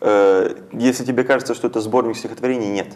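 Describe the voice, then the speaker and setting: The pace is moderate, and the speaker is a man. His intonation holds fairly even. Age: young. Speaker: poet. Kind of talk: interview. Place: studio. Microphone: lapel.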